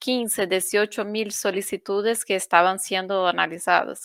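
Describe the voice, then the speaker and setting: A woman speaks with a Brazilian accent. The sound is dry and close with no echo, on a very clean recording with a silent background. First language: Portuguese (speaking Spanish). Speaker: UN refugee agency officer. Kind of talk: panel discussion.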